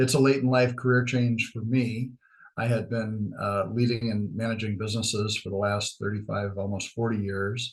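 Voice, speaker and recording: A somewhat breathy man with an American accent and a monotone, flat intonation. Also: medium pitch for a man, moderate pace. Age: 60s. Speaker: chamber of commerce leader. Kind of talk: podcast interview. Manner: many fillers and hesitations.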